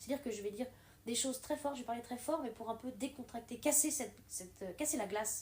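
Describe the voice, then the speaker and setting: Loud and very fast, a woman speaks at a high pitch with ordinary pitch variation. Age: 30s. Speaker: water engineer and beginner stand-up comedian. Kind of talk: casual interview chat. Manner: animated.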